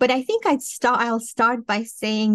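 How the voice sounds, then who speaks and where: Here a woman speaks with a Romanian accent. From Moldova. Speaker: professor and cognitive scientist. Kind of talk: interview. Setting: remote video call. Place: home room. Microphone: studio mic.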